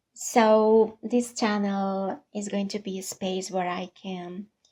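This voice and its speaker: Her voice has a dark, mellow tone at medium pitch, and this woman speaks with a non-native accent. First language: not English. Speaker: vlogger. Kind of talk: personal vlog monologue.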